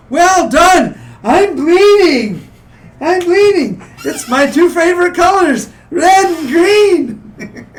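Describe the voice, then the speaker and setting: Speaking very slowly, a man uses a put-on character voice. His pitch is extremely high. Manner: gleeful, boisterous.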